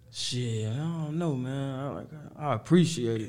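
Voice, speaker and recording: Speaking at a moderate pace, a man has a dark, mellow tone and ordinary pitch variation, with audible room echo. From Harvey, Illinois (Chicago south suburbs). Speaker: rapper. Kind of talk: casual interview.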